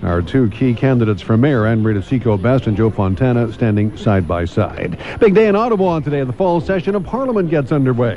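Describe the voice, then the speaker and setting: Over noticeable background noise, a man with a medium pitch talks at a fairly quick pace with hardly any pauses and very wide pitch swings. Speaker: radio newsreader. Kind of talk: radio morning newscast.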